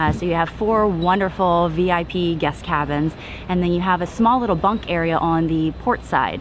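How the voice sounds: Over clear background noise, a woman talks at a moderate pace with fairly low pitch and ordinary pitch variation.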